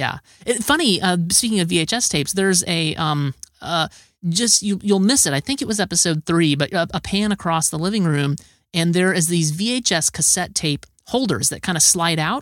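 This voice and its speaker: A man with a high voice talks at a moderate pace, his pitch varying in an ordinary way. The recording is very clean and dry, close with no echo and a silent background. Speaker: podcast host. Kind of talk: casual chat. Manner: halting.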